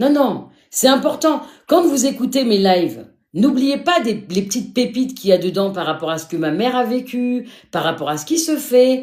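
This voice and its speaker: Swinging very widely in pitch, a woman with a high voice speaks at a moderate pace. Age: 50s. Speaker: live streamer sharing life story. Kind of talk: live stream talk to viewers. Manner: animated.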